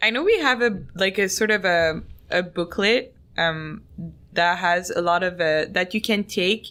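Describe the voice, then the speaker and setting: Speaking at a fairly slow pace with very even loudness, a woman in a Quebec accent has a medium pitch, a bright, sharp tone and ordinary pitch variation. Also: very clean recording, silent background. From Montreal, Quebec. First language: French. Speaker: podcast host. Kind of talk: casual chat.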